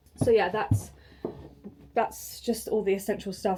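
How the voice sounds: The voice has a dark, mellow tone. It moves at a moderate pace with little pitch movement. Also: woman.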